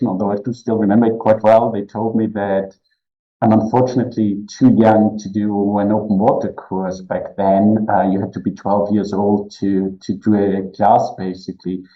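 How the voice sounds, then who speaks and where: At a moderate pace, a man with a German accent speaks in a fairly low pitch with monotone, flat intonation. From Austria. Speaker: cave diving explorer and instructor. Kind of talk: podcast interview.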